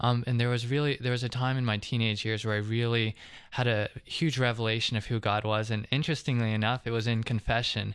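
A man with an American accent talks at a very fast pace and medium pitch, his intonation monotone and flat. His loudness is very even against a quiet background. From US South, Georgia (Covington). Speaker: seminary applicant. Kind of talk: testimony. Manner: halting, many fillers.

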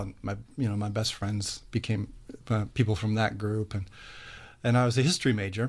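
With an American accent and a normal speaking voice, a man talks at a fairly quick pace, his medium pitch and fairly even intonation set against a quiet background. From US Midwest, Cleveland. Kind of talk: radio interview.

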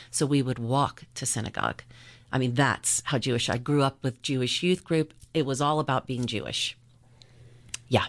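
A woman with an American accent, very deep and low in pitch, at a moderate pace with fairly even intonation and a quiet background. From US South, Charleston, South Carolina. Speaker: parishioner, coffee house owner. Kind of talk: testimony.

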